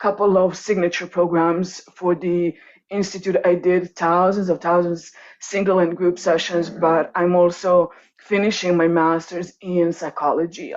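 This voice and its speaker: With a Croatian accent, a woman speaks at a moderate pace. Her fairly low voice stays monotone, with flat intonation. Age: 30s. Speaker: coach and workshop presenter. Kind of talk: online workshop presentation.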